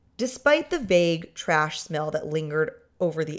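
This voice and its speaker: A woman speaks in an animated tone. Her pitch makes very wide swings. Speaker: podcast host. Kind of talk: casual chat.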